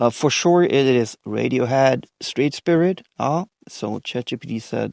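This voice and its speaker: A voice with a non-native accent comes through with a dry, close sound with no echo against a quiet background. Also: man. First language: not English. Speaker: indie musician. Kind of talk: podcast interview. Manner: halting, many fillers.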